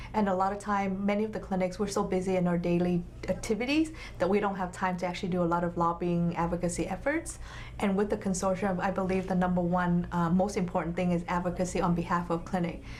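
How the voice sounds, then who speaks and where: A woman with a Vietnamese accent at a very fast pace, monotone and flat, very even in loudness, with audible room echo. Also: medium pitch for a woman. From Vietnam, moved to US at eleven. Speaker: nonprofit health clinic executive. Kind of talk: interview. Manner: halting, many fillers.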